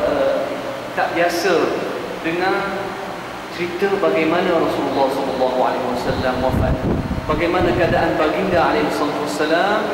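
A man speaks with long, frequent pauses. Loud background noise and audible room echo fill the recording. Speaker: religious teacher. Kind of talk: sermon. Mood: warm, joking. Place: hall. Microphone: podium.

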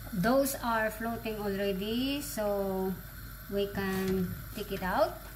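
With noticeable noise behind her, a woman speaks at a very slow pace, her pitch varying in an ordinary way. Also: medium pitch for a woman. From Philippines. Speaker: vlogger. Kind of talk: cooking tutorial. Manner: casual. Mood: warm, friendly. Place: kitchen.

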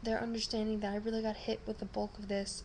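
There is light background noise as a woman speaks. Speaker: vlogger. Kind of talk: casual vlog chat. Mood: subdued but grateful. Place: home room. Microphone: webcam.

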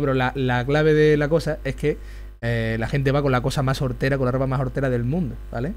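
A man at a very fast pace, with audible room echo. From Extremadura, Spain. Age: 20s. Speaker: youtuber. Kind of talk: live stream chat while drawing.

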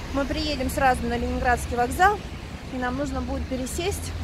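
A woman speaks at a moderate pace. The sound is dry with no echo, and background noise is noticeable. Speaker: travel vlogger. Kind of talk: casual vlog chat. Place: street. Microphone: phone near.

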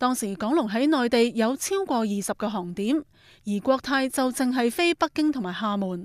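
Lively intonation runs through speech at a moderate pace, captured with a dry, close sound, no echo, and a very clean recording with a silent background. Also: woman, high pitch for a woman. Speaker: news reporter. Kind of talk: news report narration.

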